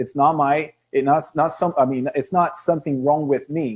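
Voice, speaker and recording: A man speaks at a moderate pace with a Portuguese accent, his pitch fairly high. His pitch varies in an ordinary way over a quiet background. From Brazil. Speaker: online marketing speaker. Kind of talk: webinar presentation. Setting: video call livestream. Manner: animated.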